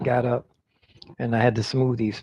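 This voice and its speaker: An unremarkable speaking voice from a man at a medium pitch and a moderate pace. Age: 60s. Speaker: semi-retired street performer and livestreamer. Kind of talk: casual live stream chat. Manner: relaxed, meandering.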